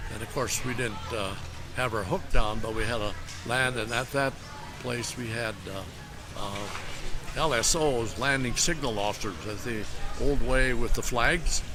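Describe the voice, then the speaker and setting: A man with an Upper Midwest accent at a fairly slow pace, ordinary pitch variation, and music in the background. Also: medium pitch for a man. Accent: Upper Midwest American. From Minnesota. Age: 80s+. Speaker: former Navy pilot, veteran. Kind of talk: interview answer. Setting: outdoors at airport exhibit. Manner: hesitant, many fillers.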